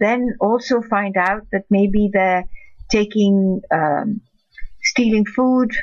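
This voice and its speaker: Over a quiet background, a woman speaks at a very slow pace with fairly even intonation. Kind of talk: advice talk to camera. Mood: calm, empathetic. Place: home room. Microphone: webcam.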